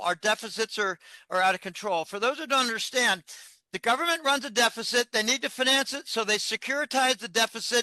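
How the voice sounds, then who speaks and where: A man's raised, projected voice at a fairly quick pace, with ordinary pitch variation, dry close sound with no echo and a quiet background. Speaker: financial analyst. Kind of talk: interview.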